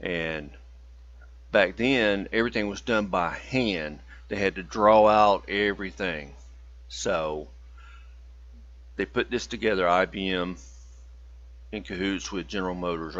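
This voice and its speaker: A man with a very deep, low voice and vocal fry speaks at a moderate pace with lively intonation. He leaves long, frequent pauses against a quiet background. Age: 50s. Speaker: student. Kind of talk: class presentation. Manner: casual, folksy.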